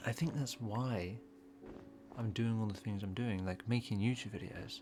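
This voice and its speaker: Over music in the background, a man speaks at a moderate pace with fairly low pitch and ordinary pitch variation. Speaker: gaming youtuber. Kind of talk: casual monologue while gaming. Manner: long pauses, halting; repetitive stammering.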